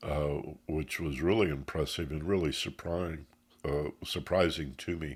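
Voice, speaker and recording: On a very clean recording with a silent background, a man with a very deep, low pitch and vocal fry speaks at a fairly slow pace with fairly even intonation. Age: 70s. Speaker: spiritual teacher and radio host. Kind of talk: Q&A answer; spiritual class talk.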